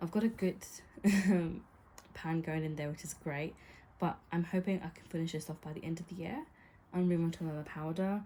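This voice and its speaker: In a British accent, a woman with a fairly low, dark and mellow, somewhat breathy voice speaks at a moderate pace with fairly even intonation and big swings in loudness. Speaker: beauty vlogger. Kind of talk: casual talk to camera. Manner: pauses often.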